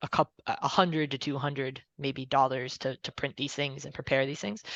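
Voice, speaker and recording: Recorded dry and close with no echo, a woman speaks at a very deep, low pitch with vocal fry. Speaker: working group co-organizer. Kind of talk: online meeting discussion.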